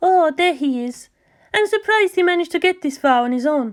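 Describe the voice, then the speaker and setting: A soft-spoken, squeaky put-on character voice, female-sounding, at an extremely high pitch and a fairly quick pace. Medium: read story. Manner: soft, sweet.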